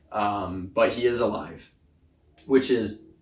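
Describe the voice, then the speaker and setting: A man's medium-pitched, somewhat breathy voice at a very slow pace, with fairly even intonation. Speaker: motorsport YouTuber. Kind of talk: casual commentary video. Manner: halting.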